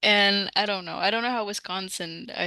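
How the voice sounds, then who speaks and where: With a slight Midwestern accent, a woman speaks at a moderate pace and medium pitch in a bright, sharp tone, her intonation fairly even over a quiet background. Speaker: language teacher and content creator. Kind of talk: casual interview. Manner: halting, many fillers.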